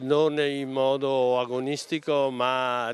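The man's voice is monotone and flat, with a dry sound and no echo. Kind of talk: interview answer. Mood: friendly, pleased. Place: open country. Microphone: handheld.

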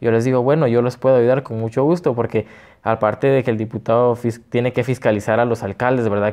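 A man speaks at a very fast pace with fairly even intonation against a quiet background. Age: 20s. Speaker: political candidate; candidate. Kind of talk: interview. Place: studio. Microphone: lapel.

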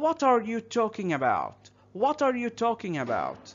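A man with an Egyptian accent over music in the background. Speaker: English teacher. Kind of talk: tutorial. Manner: slow, repetitive drilling of phrases.

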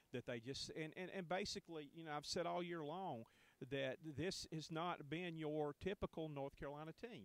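A man with a clear, smooth tone speaks at a fairly high pitch and moderate pace with ordinary pitch variation.

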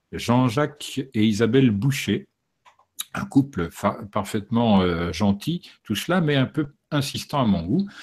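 A man speaks at a very slow pace with long, frequent pauses. His pitch swings very widely against a quiet background. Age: 60s. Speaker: documentary filmmaker and author; interviewee. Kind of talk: interview. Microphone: studio mic.

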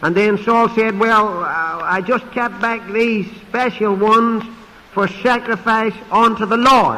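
A man's high-pitched, raised and projected voice, fairly even in intonation and very slow in pace. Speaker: pastor and preacher; pastor, preacher. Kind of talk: sermon preaching. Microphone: podium.

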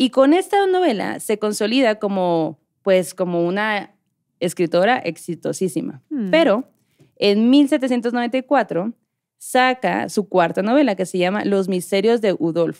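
A woman with a plain, everyday voice speaks at a fairly slow pace with lively intonation. Her pitch is medium, and the background is quiet. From Mexico, Hermosillo (Sonora); Sonora, Mexico. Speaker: podcast host. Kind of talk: storytelling. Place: studio. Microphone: studio mic.

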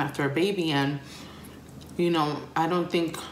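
A woman's very deep, low voice with ordinary pitch variation at a moderate pace, with audible room echo and light background noise. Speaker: vlogger. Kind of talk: casual vlog chat. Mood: relaxed, confiding. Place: kitchen. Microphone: phone near.

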